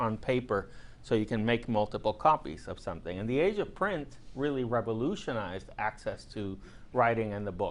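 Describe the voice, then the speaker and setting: The man has an ordinary speaking voice at medium pitch, with ordinary pitch variation. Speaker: professor. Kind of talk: lecture. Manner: conversational with fillers and repetitions.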